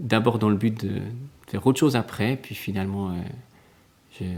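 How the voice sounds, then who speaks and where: The voice belongs to a man with a fairly low pitch. His intonation is fairly even. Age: 30s. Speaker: primary school teacher. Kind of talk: interview. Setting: quiet classroom. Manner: hesitant, many fillers.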